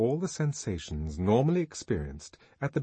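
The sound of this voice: This is an unforced reading voice. It stays that way throughout.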